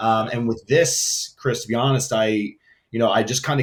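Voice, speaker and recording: At a moderate pace, a man speaks with fairly even intonation. His pitch is medium. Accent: New York. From New York City (Queens). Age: 30s. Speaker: entrepreneur, brand founder. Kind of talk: interview. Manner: casual, filler-heavy.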